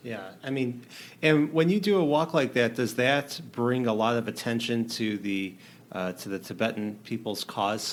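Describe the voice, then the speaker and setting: A man speaks at a moderate pace with lively intonation and a medium pitch. It is an ordinary speaking voice. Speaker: podcast host. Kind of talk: interview questions.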